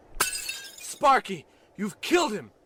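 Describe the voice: In a put-on character voice, a man speaks slowly at a high pitch, with big pitch swings, a bright, sharp tone and a slightly husky edge.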